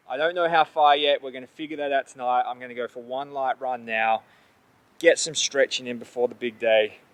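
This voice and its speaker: A man with an Australian accent speaks at a fairly quick pace, his pitch varying in an ordinary way. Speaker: endurance athlete. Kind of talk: vlog to camera. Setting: outdoors.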